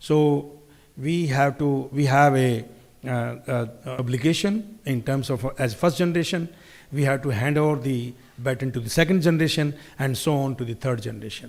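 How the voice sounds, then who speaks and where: A man with an unremarkable speaking voice and a fairly high pitch talks at a moderate pace with ordinary pitch variation. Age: 60s. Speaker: industry executive speaker. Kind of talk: conference speech.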